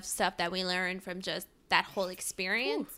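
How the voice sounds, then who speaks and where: Recorded very cleanly with a silent background, a woman speaks in a bright, sharp tone with a Mid-Atlantic accent. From US, Maryland (Montgomery County, near DC). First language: Spanish. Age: 20s. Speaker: podcast co-host. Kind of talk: casual chat.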